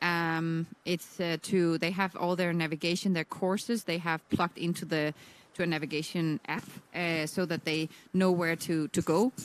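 Speaking in a Danish accent, a woman has a fairly low pitch and monotone, flat intonation at a moderate pace. The sound is dry and close, with no echo. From Denmark. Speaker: sailing expert commentator. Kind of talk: live commentary.

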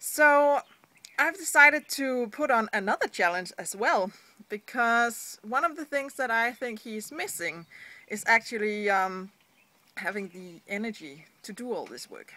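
A woman with a Danish accent speaks slowly enough to be fairly slow, in a bright, sharp tone at fairly high pitch, with lively intonation, big swings in loudness and a dry sound with no echo. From Denmark. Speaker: online business blogger. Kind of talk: vlog. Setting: seated indoors at home. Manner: hesitant, frequent fillers. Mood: earnest, encouraging. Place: street. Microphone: phone near.

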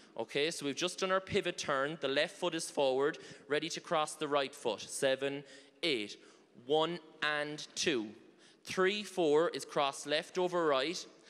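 Speaking in an Irish accent, a man talks fairly slowly, his pitch fairly high with ordinary variation. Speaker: line dance instructor. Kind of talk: dance class instruction with counts. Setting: stage with audience. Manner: animated. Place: hall. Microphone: handheld.

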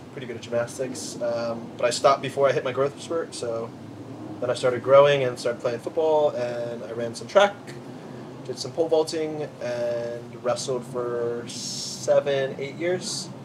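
Male speaker with an American accent, at a moderate pace, with ordinary pitch variation, big swings in loudness and noticeable background noise. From US Mid-Atlantic. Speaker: CrossFit athlete. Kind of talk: casual chat. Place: garden.

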